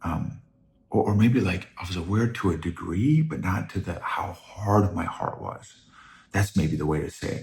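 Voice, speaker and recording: A soft-spoken, somewhat breathy man with a fairly low pitch, lively intonation and a moderate pace. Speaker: podcast host. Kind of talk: casual monologue. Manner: halting.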